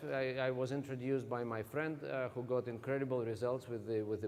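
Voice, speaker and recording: A man speaks with a Russian accent at a medium pitch. His pitch varies in an ordinary way, and the room echo is audible. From Russia (Siberia). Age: 40s. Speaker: motivational speaker. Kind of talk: stage talk. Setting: stage with audience.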